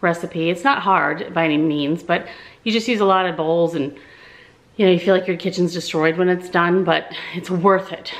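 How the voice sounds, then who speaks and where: A woman with a normal speaking voice talks at a moderate pace, her pitch fairly low and her intonation fairly even. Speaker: home vlogger. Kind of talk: casual vlog chat. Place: home room. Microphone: phone near.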